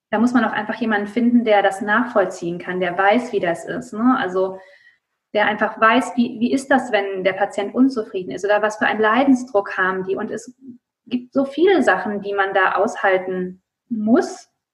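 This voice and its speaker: This woman has a fairly high pitch and a somewhat breathy voice. Her pitch varies in an ordinary way. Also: moderate pace. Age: 30s. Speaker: occupational therapist and coach. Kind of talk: interview.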